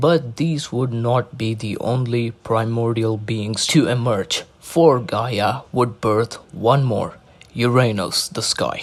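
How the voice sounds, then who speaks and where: A man with a medium pitch speaks at a very slow pace. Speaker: narrator reading mythology aloud. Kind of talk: casual intro; reading aloud. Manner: monotone.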